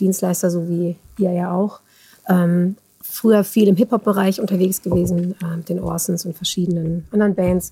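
A woman speaks with fairly even intonation in a dark, mellow, somewhat breathy tone. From Germany, near Bielefeld/Detmold (East Westphalia). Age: 30s. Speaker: backing singer. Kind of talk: casual chat.

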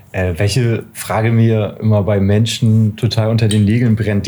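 A man speaks with a fairly low pitch. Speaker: podcast co-host. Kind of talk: casual interview. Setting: record shop.

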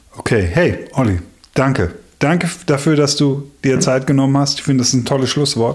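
The man has a plain, everyday voice, pitched at a medium level, with ordinary pitch variation. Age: 40s. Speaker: podcast host, worship musician. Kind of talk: casual chat.

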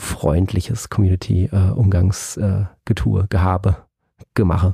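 A man with a very deep, low pitch and a dark, mellow tone speaks at a moderate pace. His voice is somewhat breathy, his intonation fairly even, and the sound dry and close with no echo. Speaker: music podcast host. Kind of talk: solo album review. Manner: hesitant with many fillers.

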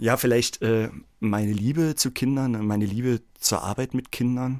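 On a very clean recording with a silent background, a man with an ordinary speaking voice talks at a moderate pace, medium in pitch with ordinary pitch variation. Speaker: music school director and children's songwriter. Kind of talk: casual chat. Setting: studio.

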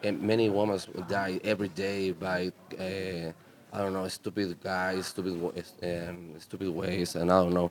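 A man's very deep, low voice, monotone and flat, at a fairly slow pace. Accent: Spanish. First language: Spanish. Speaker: punk rock musician. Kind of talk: casual interview. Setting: festival radio studio. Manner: halting.

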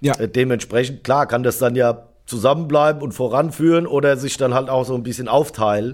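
An unremarkable speaking voice from a man, fairly quick and fairly even in intonation. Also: medium pitch for a man. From Germany, Darmstadt (Hesse). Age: 40s. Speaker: drummer. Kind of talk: casual chat.

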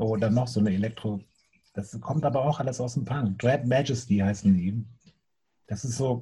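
A man speaks at a medium pitch with a dark, mellow tone and ordinary pitch variation. His voice is somewhat breathy, broken by long, frequent pauses. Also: moderate pace. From Bremen, northern Germany. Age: 40s. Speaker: music booker and former punk drummer. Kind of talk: casual interview.

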